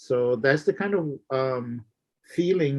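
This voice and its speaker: In a Florida accent, a man talks at a medium pitch. His pitch varies in an ordinary way. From Florida Everglades, Miccosukee tribe. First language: Miccosukee. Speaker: minister and activist. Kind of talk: interview conversation.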